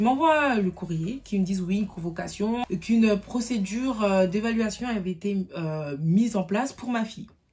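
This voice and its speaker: Hardly pausing, the somewhat breathy voice moves through lively intonation. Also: woman, medium pitch for a woman, moderate pace. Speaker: youtuber. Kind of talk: storytime testimony. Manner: stutters when upset; emotional, unscripted.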